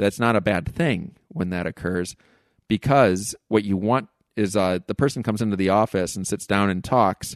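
A man has an ordinary speaking voice, fairly low in pitch, with ordinary pitch variation. The sound is dry and close with no echo, over a quiet background. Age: 40s. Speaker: psychoanalyst and podcaster. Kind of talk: casual interview.

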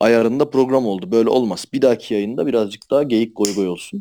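A man's dark, mellow tone at a medium pitch and moderate pace. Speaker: anonymous podcast guest. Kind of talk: casual chat.

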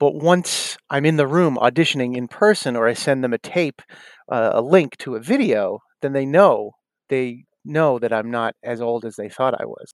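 With an American accent, a man talks in an ordinary speaking voice at a fairly high pitch and a moderate pace, with ordinary pitch variation. The sound is dry and close with no echo, on a very clean recording with a silent background. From US Northeast, South Shore of Massachusetts. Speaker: actor and comedian. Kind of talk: interview.

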